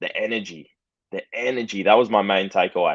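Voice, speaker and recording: A fairly quick pace in an Australian accent. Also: man. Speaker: football fan. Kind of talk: casual chat.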